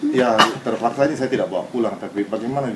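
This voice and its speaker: Over noticeable background noise, a man with a Japanese accent speaks at a very fast pace. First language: Japanese (speaking Indonesian). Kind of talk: interview testimony.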